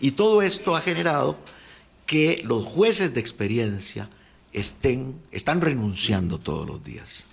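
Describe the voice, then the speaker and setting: A man's medium-pitched voice with vocal fry, very wide pitch swings and a fairly slow pace. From Costa Rica, Alajuela. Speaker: former attorney general. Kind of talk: radio interview. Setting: radio studio.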